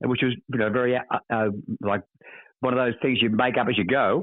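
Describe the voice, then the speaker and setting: A man with an Australian accent. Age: 70s. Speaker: actor. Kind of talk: interview. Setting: phone call. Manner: halting, repeats words.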